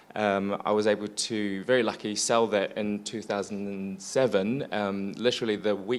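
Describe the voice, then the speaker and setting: Here is a man with a New Zealand accent. His fairly low voice keeps a fairly even intonation. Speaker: business owner, former lawyer. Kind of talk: panel discussion.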